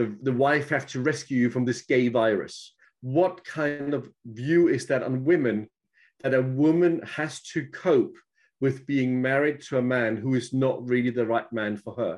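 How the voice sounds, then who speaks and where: A plain, everyday voice from a man, medium in pitch with ordinary pitch variation, at a fairly slow pace against a quiet background. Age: 50s. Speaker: guest sharing personal experience. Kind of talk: casual chat.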